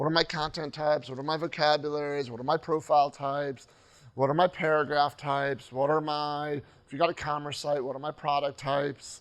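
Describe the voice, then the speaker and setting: A man at a fairly quick pace, fairly high in pitch, with monotone, flat intonation, against a quiet background. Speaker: conference speaker, web developer and trainer. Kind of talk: conference talk. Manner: fast.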